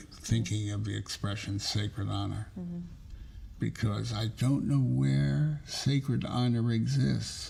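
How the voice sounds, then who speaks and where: Using an American accent, a man with a very deep, low pitch talks at a fairly slow pace with very wide pitch swings. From New Haven, Connecticut. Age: 90s. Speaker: television producer and writer; World War II veteran. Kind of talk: interview answer.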